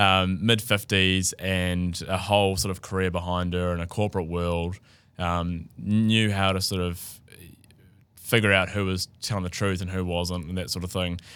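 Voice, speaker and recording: A man with a New Zealand accent speaks at a moderate pace in a very deep, low voice with monotone, flat intonation, on a very clean recording with a silent background. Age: 20s. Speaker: real estate agent. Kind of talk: casual chat.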